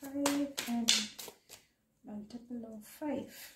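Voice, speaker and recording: Over loud background noise, a woman speaks at a very slow pace. Her high-pitched voice stays monotone and flat. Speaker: tarot reader. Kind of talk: tarot card reading. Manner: stammering; casual, conversational. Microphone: phone near.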